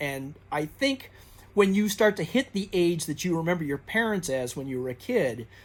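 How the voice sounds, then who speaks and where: A man talks at a high pitch with very wide pitch swings. The recording is very clean, with a silent background. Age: 60s. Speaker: booktuber. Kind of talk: casual monologue. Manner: halting, many fillers.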